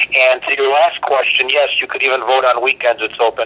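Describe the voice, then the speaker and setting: Very fast speech over noticeable background noise. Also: man. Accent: American. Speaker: local politician. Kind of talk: political talk radio interview.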